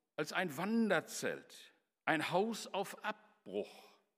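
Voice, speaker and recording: Here a man with a high-pitched voice uses ordinary pitch variation. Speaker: preacher. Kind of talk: sermon delivered to a church congregation, with storytelling and scripture quotes. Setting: church. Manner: earnest, formal and measured, with emphatic repetition of key phrases.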